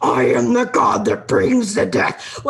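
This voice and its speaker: A fairly slow, put-on character voice from a man. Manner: menacing, declaring.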